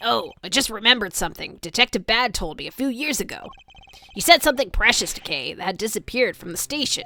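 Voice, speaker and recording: This is a put-on character voice. It races at a very fast pace with lively intonation. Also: woman, fairly high pitch for a woman. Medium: game stream. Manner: eager, deferential.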